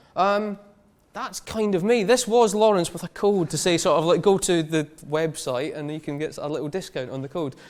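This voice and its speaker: Here is a man with a Scottish accent and a high pitch. His intonation is lively. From Scotland. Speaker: designer and studio founder. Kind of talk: conference talk. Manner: fast.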